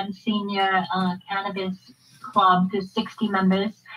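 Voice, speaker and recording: Very slow, somewhat breathy speech from a woman. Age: 50s. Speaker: nurse and cannabis advocate. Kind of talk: testimony. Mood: earnest, emotional. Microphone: video call.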